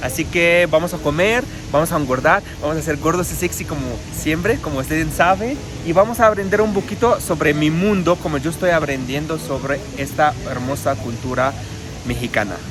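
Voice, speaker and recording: Music plays behind a man who speaks at a fairly high pitch. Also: lively intonation, moderate pace. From Egypt. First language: Arabic (speaking Spanish). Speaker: guest, Egyptian living abroad. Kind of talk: casual chat. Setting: restaurant. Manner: halting.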